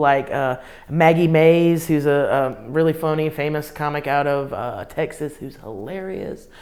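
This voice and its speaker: A woman with a Southern US accent speaks with a very deep, low pitch and an animated tone. There is noticeable background noise. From US South, Columbia, South Carolina. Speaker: comedian. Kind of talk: interview.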